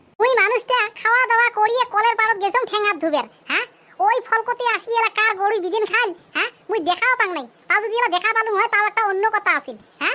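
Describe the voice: In a cartoonish character voice, a woman squeaks at an extremely high pitch and a fairly quick pace.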